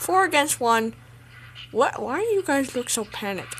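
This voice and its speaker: This is a put-on character voice that sounds female. It is high-pitched, with very wide pitch swings. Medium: dub. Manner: comedic, exasperated.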